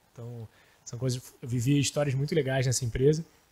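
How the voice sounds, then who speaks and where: Speaking in a Rio de Janeiro accent, a man keeps a medium pitch and fairly even intonation. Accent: carioca. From Rio de Janeiro, Brazil. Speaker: startup founder. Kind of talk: podcast panel chat. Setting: studio.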